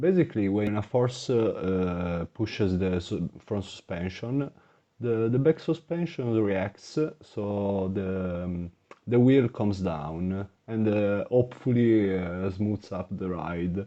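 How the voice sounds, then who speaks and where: With a non-native accent, this dark, mellow voice moves at a very slow pace with ordinary pitch variation against a quiet background. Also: man, fairly low pitch for a man. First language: not English. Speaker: gaming YouTuber. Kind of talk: gameplay commentary. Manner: halting, many filler words.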